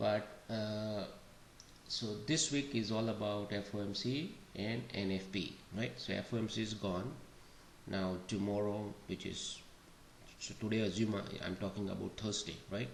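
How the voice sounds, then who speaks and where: A man talks quietly at a fairly slow pace, leaving long, frequent pauses. His intonation is fairly even, and there is audible room echo. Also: fairly low pitch for a man. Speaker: day trading educator. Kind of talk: market analysis walkthrough. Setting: home recording. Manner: slow, quiet.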